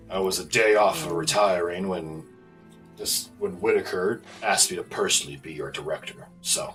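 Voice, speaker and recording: Over clear music in the background, a man uses a put-on character voice, fairly low in pitch, at a moderate pace. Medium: actual play. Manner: gruff, brusque, impatient.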